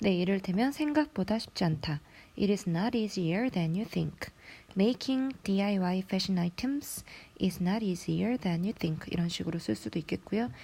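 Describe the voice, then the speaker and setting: Her somewhat breathy, dark and mellow voice carries lively intonation as the woman speaks. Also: medium pitch for a woman. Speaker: English teacher. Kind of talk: lecture.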